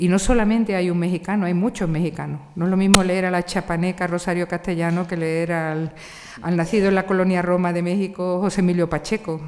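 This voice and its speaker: Speaking at a fairly quick pace, a woman uses a monotone, flat intonation and a fairly low pitch. She has an Andalusian accent, with noticeable background noise behind her. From Andalusia, Spain (Seville). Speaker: literature professor. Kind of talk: panel discussion.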